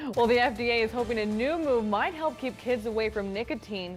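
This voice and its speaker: Over background music, a woman with an American accent talks at a fairly quick pace with a fairly high pitch and ordinary pitch variation. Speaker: TV news anchor and reporter. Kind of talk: studio news anchor desk read.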